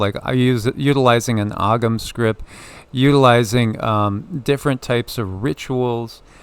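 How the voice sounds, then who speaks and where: A man speaks at a medium pitch and a fairly slow pace. He has a plain, everyday voice with ordinary pitch variation. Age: 60s. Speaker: spiritual channel host, tarot reader. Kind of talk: casual spiritual discussion.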